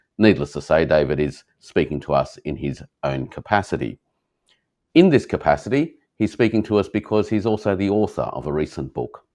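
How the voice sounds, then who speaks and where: Over a quiet background, a man talks at a fairly quick pace with a fairly low pitch, vocal fry, and very wide pitch swings. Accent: Australian. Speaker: interview host. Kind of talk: interview. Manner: hesitant fillers.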